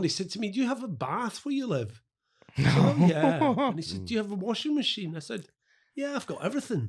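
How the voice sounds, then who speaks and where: A man's somewhat breathy voice in a Scottish accent, fairly quick, with very wide pitch swings. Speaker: writer and actor. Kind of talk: podcast interview answer.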